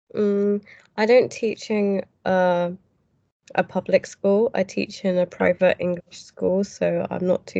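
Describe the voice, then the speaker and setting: In a dry, close recording with no echo, a woman speaks fairly slowly in a British accent. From UK. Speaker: English teacher. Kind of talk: casual interview chat. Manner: hesitant, with fillers.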